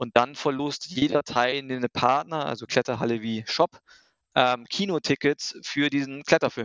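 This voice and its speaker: Here a man speaks in a plain, everyday voice at a medium pitch. His pace is fairly slow, and his pitch variation is ordinary. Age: 40s. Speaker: startup founder. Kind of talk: casual interview.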